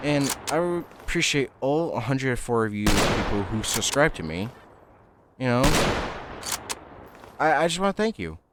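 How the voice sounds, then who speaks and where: Over noticeable background noise, a man speaks at a medium pitch and moderate pace, with very wide pitch swings and long, frequent pauses. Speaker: gaming youtuber. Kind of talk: gameplay commentary, casual rambling. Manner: halting, many fillers; casual, rambling.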